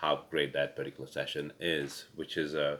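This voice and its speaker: A man speaks with a non-native accent. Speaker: pickleball coach. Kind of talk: casual webinar chat. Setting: webinar recording. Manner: halting, many fillers.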